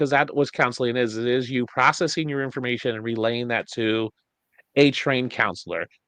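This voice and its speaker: This man's speech moves fairly quickly. His voice sits at a middle pitch. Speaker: podcast host. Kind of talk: casual chat. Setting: home studio, at desk. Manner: fast; stumbles over words.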